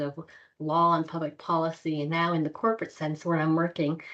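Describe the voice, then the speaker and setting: A soft-spoken woman with an American accent talks at a fairly quick pace. Her pitch is fairly low, and the background is quiet. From Texas, Houston. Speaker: corporate lawyer. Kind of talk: interview.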